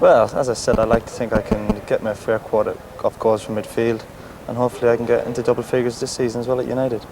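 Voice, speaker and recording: A man with a Cork accent talks at a very fast pace. Background noise is noticeable. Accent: Cork Irish. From Cork, Ireland. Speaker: professional footballer. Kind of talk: TV interview answer.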